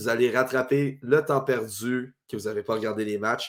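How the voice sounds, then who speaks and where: Speaking at a fairly slow pace in a Quebec accent, a man comes through on a very clean recording with a silent background. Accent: Québécois French. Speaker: sports podcast host. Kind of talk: sports talk show. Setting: Facebook live stream.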